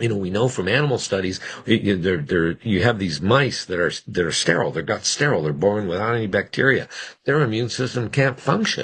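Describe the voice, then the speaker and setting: A man's fairly low voice at a fairly quick pace, with lively intonation, an ordinary speaking voice and a quiet background. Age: 60s. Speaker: physician. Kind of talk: interview. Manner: conversational, with frequent restarts.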